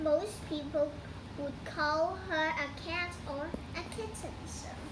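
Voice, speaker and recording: A woman's put-on character voice, high in pitch and fairly slow, over loud background noise. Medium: read story. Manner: deferential, polite.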